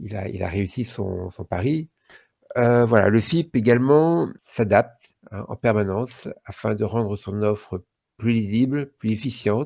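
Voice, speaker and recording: A man speaks at a fairly slow pace in a fairly low pitch with ordinary pitch variation. His tone is dark and mellow, and the background is quiet. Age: 60s. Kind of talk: podcast interview. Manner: hesitant, many fillers.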